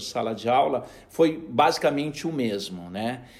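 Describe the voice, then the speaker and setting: Here is a man with an unremarkable speaking voice at medium pitch. His intonation is lively. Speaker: education director. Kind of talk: interview.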